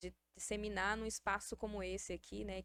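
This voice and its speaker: At a moderate pace, a woman speaks with a slight Bahian accent. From Salvador, Bahia, Brazil. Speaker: podcast host. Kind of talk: casual interview.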